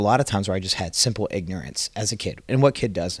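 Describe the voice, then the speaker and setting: A man's very fast speech in an American accent at a fairly low pitch, in a very clean recording with a silent background. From Atlanta, Georgia, US South. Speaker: roofing sales consultant. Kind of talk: casual interview.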